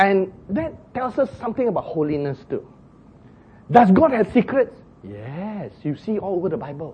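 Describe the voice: With a husky, rough edge, a man speaks at a moderate pace in a high pitch that takes big swings.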